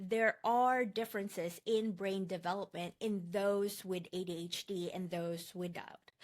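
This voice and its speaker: A woman speaks with a Filipino accent at a fairly slow pace. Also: very clean recording, silent background. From Philippines. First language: Tagalog. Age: 40s. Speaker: online course instructor. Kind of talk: lecture.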